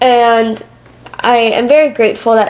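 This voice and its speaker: A woman with an American accent talks while noticeable background noise carries on behind her. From Michigan, Metro Detroit. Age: 20s. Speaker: podcast host and public speaker. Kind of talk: interview conversation. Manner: loud.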